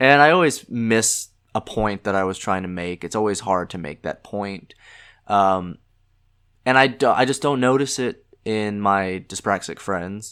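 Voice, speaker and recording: Speech at a fairly slow pace comes through on a very clean recording with a silent background. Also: man, fairly low pitch for a man, ordinary pitch variation. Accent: American. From US South. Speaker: podcast host. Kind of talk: casual monologue. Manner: halting, many filler words; stumbles on words.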